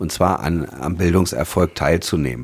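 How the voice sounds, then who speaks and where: This man's voice sits very deep and low, and he keeps a moderate pace. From Berlin. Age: 40s. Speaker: state politician. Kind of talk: interview. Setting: office.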